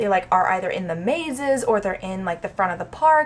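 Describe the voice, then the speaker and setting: A woman speaks at a fairly quick pace. Background noise is noticeable. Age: 20s. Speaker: actor. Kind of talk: casual vlog talk to camera.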